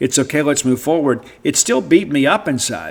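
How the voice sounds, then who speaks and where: A man speaks with a Mississippi accent. His pitch sits fairly high, and his pace is moderate. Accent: US Southern (Mississippi). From South Mississippi. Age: 50s. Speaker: sports radio host. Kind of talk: casual podcast monologue.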